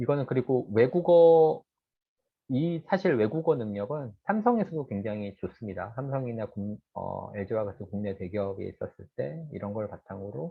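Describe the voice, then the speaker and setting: Medium in pitch, a man speaks at a moderate pace. He uses lively intonation. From South Korea. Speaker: industry researcher giving career lecture. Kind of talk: lecture. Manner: hesitant fillers.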